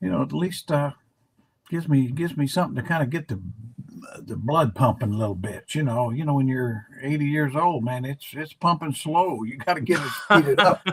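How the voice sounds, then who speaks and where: Here a man talks at a fairly quick pace with lively intonation. His voice is fairly high in pitch and somewhat breathy. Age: 80s+. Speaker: basketball analyst. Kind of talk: casual chat. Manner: halting.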